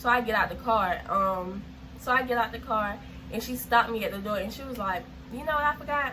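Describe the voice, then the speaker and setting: With noticeable background noise and audible room echo, a woman speaks at a fairly high pitch. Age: 19. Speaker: YouTuber. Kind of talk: storytime vlog. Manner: fast; animated.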